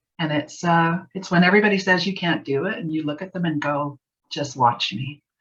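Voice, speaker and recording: Soft-spoken, a woman with a Canadian accent talks at a fairly quick pace. Her pitch is fairly low and varies in an ordinary way. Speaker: graphic designer and author. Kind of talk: interview.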